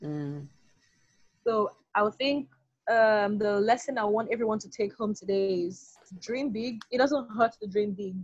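A somewhat breathy woman speaks at a fairly high pitch and fairly slow pace, with ordinary pitch variation. Her loudness swings widely, and her pauses are long and frequent. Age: young. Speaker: pharmacist and menstrual health advocate. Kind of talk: interview.

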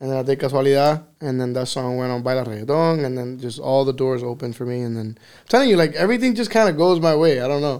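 With a Miami accent, a man at medium pitch talks very fast with hardly any pauses, ordinary pitch variation and big swings in loudness. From Miami, Florida, Cuban-American family. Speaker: reggaeton artist. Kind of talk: casual chat. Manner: mixes English and Spanish.

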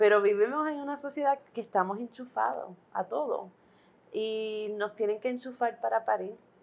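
A woman with a normal speaking voice talks at a fairly high pitch. Her pace is moderate and her pitch variation ordinary. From Puerto Rico. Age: 40s. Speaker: midwife. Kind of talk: interview.

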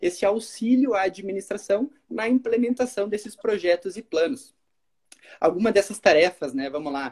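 A man speaks at a high pitch and a moderate pace, with very wide pitch swings. The sound is dry and close, with no echo. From southern Brazil, Caxias do Sul. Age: 20s. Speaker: city planning official, civil engineer. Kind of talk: podcast interview.

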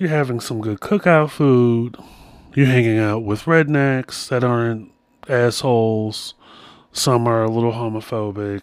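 With a normal speaking voice, a man of medium pitch talks at a fairly slow pace with ordinary pitch variation. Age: 40s. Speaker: podcast host. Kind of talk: solo monologue with storytelling and advice.

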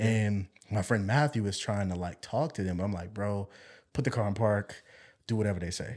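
Somewhat breathy with a dark, mellow tone, the voice moves at a moderate pace on a very clean recording with a silent background. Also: man. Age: 20s. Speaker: church drummer and musician. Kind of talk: testimony.

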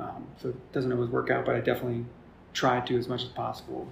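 Speaking at a fairly quick pace, a man is heard with audible room echo. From New Jersey. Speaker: small business owner, waste hauler. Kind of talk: interview conversation. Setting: room in a brewery.

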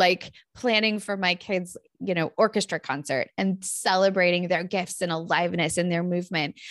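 An ordinary speaking voice from a woman with an American accent, medium-pitched, with ordinary pitch variation and a moderate pace, in a dry, close sound with no echo and a quiet background. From Northern California. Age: 40s. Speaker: clinical psychologist and author. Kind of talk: interview, personal storytelling.

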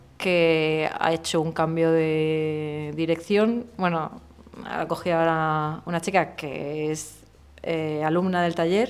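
A woman at a fairly low pitch and a very slow pace. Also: fairly even intonation. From Murcia, Spain. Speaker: illustrator. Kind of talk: casual interview.

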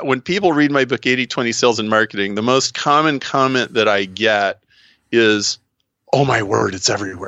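Speaking at a moderate pace with an American accent, the man uses a medium pitch and ordinary pitch variation. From US Midwest, Nebraska. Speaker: business consultant. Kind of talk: interview. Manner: animated.

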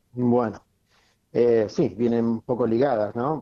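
This man's pace is moderate. His pitch sits in the medium range. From Argentina, Patagonia (Chubut). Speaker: medical doctor, cannabis columnist. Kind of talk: radio interview, explanatory Q&A. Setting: radio broadcast. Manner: halting, many fillers.

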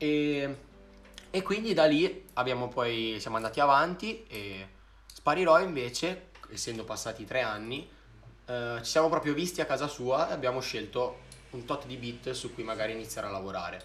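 A man talks at a moderate pace with lively intonation and big swings in loudness. Audible room echo surrounds his voice. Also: medium pitch for a man. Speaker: singer and rapper. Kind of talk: casual chat. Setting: live stream. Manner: talkative.

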